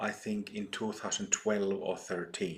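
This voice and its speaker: A man's fairly low voice with ordinary pitch variation, in a Finnish accent. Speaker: Buddhist teacher. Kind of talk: dharma talk. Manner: halting, many fillers.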